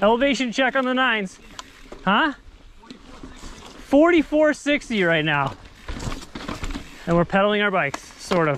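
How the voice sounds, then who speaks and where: A woman talks at a fairly slow pace, with long, frequent pauses and very wide pitch swings. The sound is dry with no echo, over light background noise. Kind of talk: casual vlog chat. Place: forest. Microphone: phone near.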